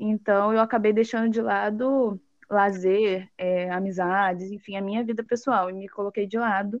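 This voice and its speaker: A woman's medium-pitched, fairly even voice, an unremarkable speaking voice, dry and close with no echo over a quiet background. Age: 20s. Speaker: accountant and auditor. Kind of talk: interview.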